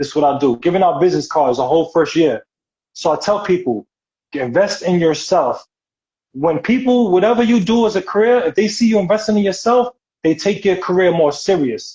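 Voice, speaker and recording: A man with a strong New York accent talks at a fairly quick pace in a high pitch, his intonation lively and his loudness very even. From New York City. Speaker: actor and model. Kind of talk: interview.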